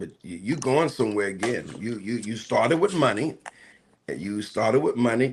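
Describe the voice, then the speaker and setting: On a very clean recording with a silent background, a man of medium pitch talks at a moderate pace with lively intonation. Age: 60s. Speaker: pastor. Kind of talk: live talk show discussion. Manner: halting.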